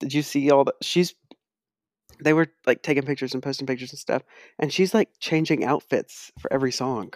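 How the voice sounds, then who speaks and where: Speaking at a fairly quick pace, a man uses a fairly high pitch with ordinary pitch variation, yet leaves long, frequent pauses. The very clean recording has a silent background and a dry, close sound with no echo. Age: 20s. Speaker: podcast co-host. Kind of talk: casual chat.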